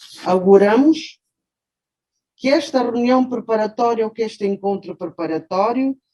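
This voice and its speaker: A woman speaks with lively intonation at a fairly slow pace, her fairly high voice dark and mellow in tone, broken by long, frequent pauses. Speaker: judge. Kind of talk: formal speech. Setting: video call. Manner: formal.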